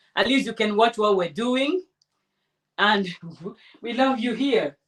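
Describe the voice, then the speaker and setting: A woman with a Nigerian accent speaks at a fairly slow pace, with a fairly high pitch and lively intonation. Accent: Nigerian (Yoruba) English. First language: Yoruba. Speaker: craft tutorial host. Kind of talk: tutorial livestream. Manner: casual, chatty.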